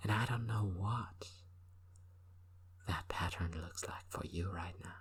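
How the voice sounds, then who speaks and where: In a very deep, low voice, a man talks at a fairly slow pace with fairly even intonation. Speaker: hypnotist. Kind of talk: recreational hypnosis session. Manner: conversational, rambling.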